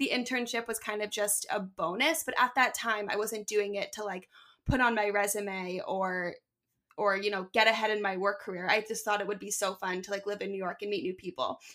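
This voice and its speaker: A woman with an American accent speaks at a fairly quick pace with a medium pitch and ordinary pitch variation. Her tone is bright and sharp in a very clean recording with a silent background. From Philadelphia. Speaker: digital video producer. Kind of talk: casual interview.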